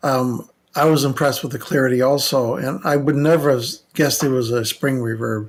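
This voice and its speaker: Male voice at medium pitch, a normal speaking voice, fairly even intonation and a fairly quick pace. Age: 60s. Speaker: electronic engineer and paranormal investigator. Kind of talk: casual podcast conversation.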